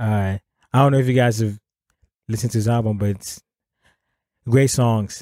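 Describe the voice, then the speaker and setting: Speaking with an Akan accent, a man has a dark, mellow tone, a moderate pace, fairly even intonation and long, frequent pauses. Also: medium pitch for a man. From Ghana. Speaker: hip hop artist and musician. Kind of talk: casual interview chat.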